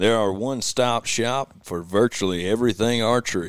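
A man with a Southern US accent speaks at a moderate pace, his pitch fairly low with ordinary variation. The recording is very clean, with a silent background. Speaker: videographer. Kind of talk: casual chat.

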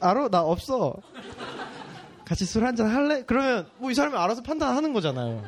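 A man talks at a fairly quick pace in an extremely high voice with very wide pitch swings and very even loudness. He leaves long, frequent pauses, and background noise is noticeable. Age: young. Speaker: photographer. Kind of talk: casual chat.

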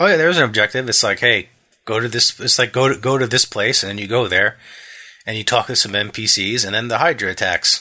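Quiet and bright with a sharp tone, a man with an American accent speaks with ordinary pitch variation. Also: medium pitch for a man, fairly quick pace. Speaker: podcast co-host. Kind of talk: casual chat.

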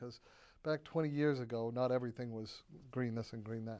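At a moderate pace, a man talks at a medium pitch in a plain, everyday voice. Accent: American. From Massachusetts (Quincy, south of Boston). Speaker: chemistry professor and former federal science official. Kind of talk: interview.

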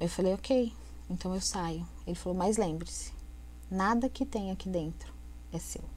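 Keeping a moderate pace, a woman speaks with long, frequent pauses. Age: 30s. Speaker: domestic violence survivor. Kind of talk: testimony.

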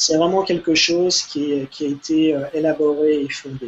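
The man has a high-pitched voice. He speaks at a very slow pace. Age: 40s. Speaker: ultra-runner and snack entrepreneur. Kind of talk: casual interview.

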